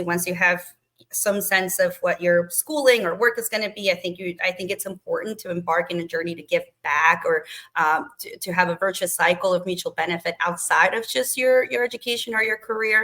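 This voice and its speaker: Fairly quick in pace, a woman speaks at a medium pitch with a bright, sharp tone. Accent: non-native. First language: not English. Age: 30s. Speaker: government relations professional. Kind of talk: interview.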